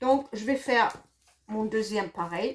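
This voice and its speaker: A woman's fairly high voice with a slight German accent, at a very slow pace. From Germany. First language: German (speaking French). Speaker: craft product demonstrator. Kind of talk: tutorial. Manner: hesitant, many fillers.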